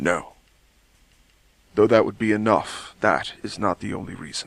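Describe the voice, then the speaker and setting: A man performs a put-on character voice. It sits at a fairly low pitch. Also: moderate pace. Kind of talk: audio drama dialogue.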